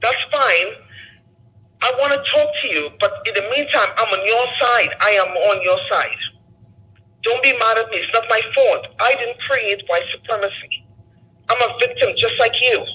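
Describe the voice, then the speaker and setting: Over noticeable background noise, the speech moves at a moderate pace broken by long, frequent pauses. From a developing country abroad, immigrant. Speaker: caller. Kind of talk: call-in discussion.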